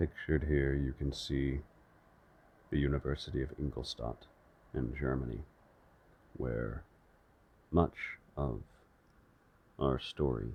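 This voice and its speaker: Very deep and low in pitch, a man talks at a very slow pace with vocal fry. His intonation stays fairly even, broken by long, frequent pauses. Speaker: ASMR audiobook reader. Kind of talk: casual intro to listeners.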